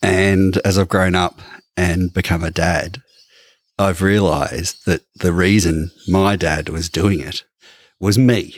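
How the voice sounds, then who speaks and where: A man with an Australian accent speaks very slowly at a very deep, low pitch, his intonation fairly even and the sound dry and close with no echo. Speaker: podcast co-host. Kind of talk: casual chat. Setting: studio.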